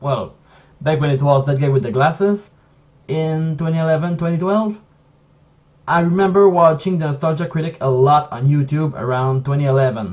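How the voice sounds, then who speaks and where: A man with a French accent talks at a fairly high pitch with ordinary pitch variation. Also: moderate pace. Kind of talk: casual commentary stream.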